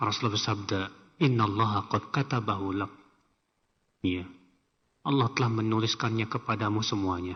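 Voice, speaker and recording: Long, frequent pauses from a man with a fairly low pitch, a moderate pace and fairly even intonation. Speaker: Islamic preacher. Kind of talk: religious lecture with Q&A. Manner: conversational, informal asides.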